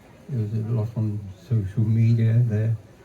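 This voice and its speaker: Speaking slowly in a flat monotone at a medium pitch, a man is heard over noticeable background noise with audible room echo. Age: 80s+. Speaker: retired engineer and early game developer. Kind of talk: stage talk interview. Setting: stage with audience. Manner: halting.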